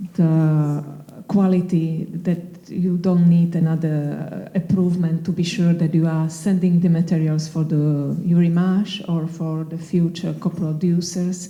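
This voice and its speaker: With a Slovak accent, a woman speaks very slowly in a fairly low, dark and mellow voice, her intonation flat and monotone, with audible room echo. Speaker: film producer. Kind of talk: panel discussion. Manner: halting.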